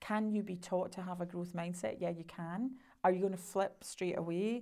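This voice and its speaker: A woman's fairly low, dark and mellow voice with a Scottish accent, fairly even intonation and a moderate pace. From Scotland. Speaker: sales coach and entrepreneur. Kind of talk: interview.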